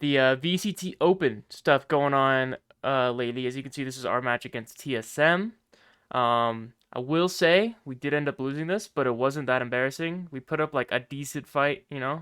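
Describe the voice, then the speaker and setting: On a very clean recording with a silent background, a man with an ordinary speaking voice and a fairly high pitch speaks at a moderate pace with ordinary pitch variation. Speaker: esports podcast host and team owner. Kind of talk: casual chat.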